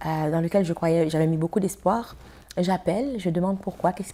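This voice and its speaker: With a Haitian accent, a woman talks at a fairly quick pace with ordinary pitch variation. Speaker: actress and film festival founder. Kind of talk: TV interview.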